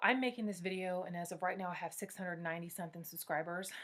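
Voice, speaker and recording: In a very clean recording with a silent background, a woman speaks at a fairly low pitch with fairly even intonation. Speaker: YouTuber, vlogger on pregnancy and fertility. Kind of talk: casual tutorial vlog. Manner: fast.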